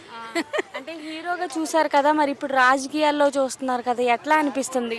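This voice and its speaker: Over noticeable background noise, a woman speaks in a high pitch with fairly even intonation. Her loudness swings widely. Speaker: street interviewer. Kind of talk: interview questions.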